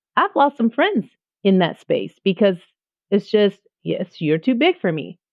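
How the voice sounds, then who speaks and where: At a moderate pace, a woman speaks at a medium pitch in an animated tone. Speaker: music teacher and entrepreneur. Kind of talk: interview conversation. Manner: loud.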